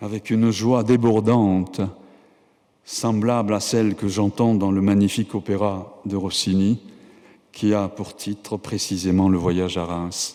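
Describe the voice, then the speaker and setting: A man with a Japanese accent speaks fairly slowly in a dark, mellow tone at a fairly low pitch, his intonation monotone and flat. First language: Japanese (speaking French). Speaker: professor and writer receiving an honorary doctorate. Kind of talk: formal acceptance speech. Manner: formal.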